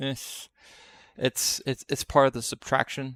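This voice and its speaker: A man talks loudly at a moderate pace. The sound is dry and close, with no echo. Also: very clean recording, silent background. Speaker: gaming streamer. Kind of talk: live debugging tutorial. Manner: halting, many fillers.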